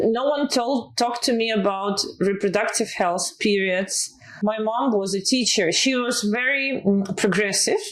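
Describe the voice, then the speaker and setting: A woman at a fairly slow pace with hardly any pauses, a fairly high pitch, ordinary pitch variation and very even loudness, over noticeable background noise. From Eastern Europe. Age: 30s. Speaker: health tech executive. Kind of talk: interview. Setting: office.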